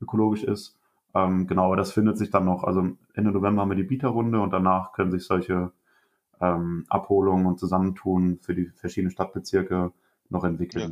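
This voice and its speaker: The man's pitch is very deep and low. He talks at a fairly quick pace with monotone, flat intonation. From Germany, Rhineland-Palatinate. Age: 20s. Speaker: organic farmer and agriculture student. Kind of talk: podcast interview.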